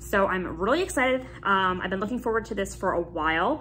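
Light background noise behind a woman speaking. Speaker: YouTube vlogger. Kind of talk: casual vlog chat. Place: home room. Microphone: phone near.

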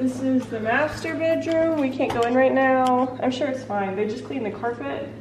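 Speaking in a high pitch at a moderate pace, a woman uses ordinary pitch variation and hardly any pauses over noticeable background noise. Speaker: vlogger and writer. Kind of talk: casual vlog. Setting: outdoors at new house. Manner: rambling, excited.

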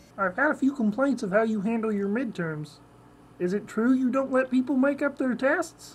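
A put-on character voice sounds female and sits at a fairly high pitch. The pace is moderate. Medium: role play. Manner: nasal, comic.

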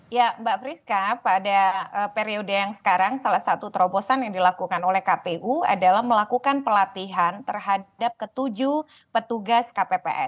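This is a woman with an ordinary speaking voice. She talks at a moderate pace. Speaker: election watchdog expert. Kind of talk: live TV interview. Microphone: unstable connection, drops out.

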